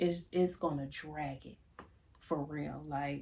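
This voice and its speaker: Soft-spoken and somewhat breathy, a woman with a dark, mellow tone talks fairly slowly with fairly even intonation. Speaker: YouTuber giving life advice. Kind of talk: casual monologue to camera. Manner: conversational, repetitive fillers.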